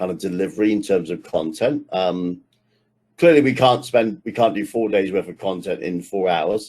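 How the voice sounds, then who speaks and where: Lively intonation marks this man's unremarkable speaking voice. His pitch is fairly low and his pace moderate. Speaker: technical trainer. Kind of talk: online workshop lecture.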